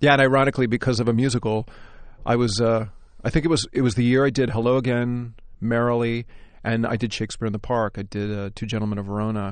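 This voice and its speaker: Speaking very fast against a quiet background, a man with an American accent keeps a medium pitch and fairly even intonation. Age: 40s. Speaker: stage actor. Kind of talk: interview.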